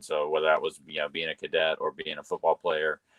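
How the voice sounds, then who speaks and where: Fairly quick speech from a man in a Southern US accent. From US South (North Florida, Carolinas). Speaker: engineer and emotional intelligence coach. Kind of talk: interview. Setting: video call. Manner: hesitant, many fillers.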